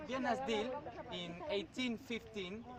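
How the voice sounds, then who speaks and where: Noticeable background noise sits behind a man with a Spanish accent. He speaks at a fairly slow pace with lively intonation. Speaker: student. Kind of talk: class presentation. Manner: halting.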